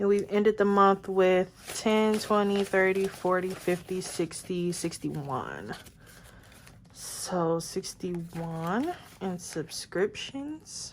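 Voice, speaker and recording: Speaking very slowly, a woman uses a medium pitch with ordinary variation. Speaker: budgeting vlogger. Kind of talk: casual vlog tutorial.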